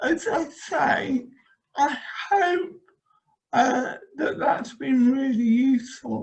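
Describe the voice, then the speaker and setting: At a very slow pace, the speaker's pitch varies in an ordinary way. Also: woman. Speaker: motivation trainer. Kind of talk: online workshop wrap-up. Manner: warm, enthusiastic.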